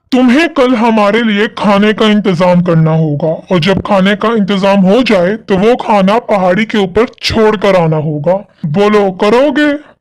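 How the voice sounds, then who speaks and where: A cartoonish character voice, fairly high in pitch, moving at a fairly slow pace. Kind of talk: spooky cartoon villain. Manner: menacing, theatrical.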